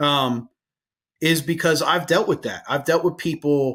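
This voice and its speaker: On a very clean recording with a silent background, a man with an American accent speaks at a fairly high pitch with ordinary pitch variation. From New Jersey. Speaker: firefighter and podcast host. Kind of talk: casual interview chat.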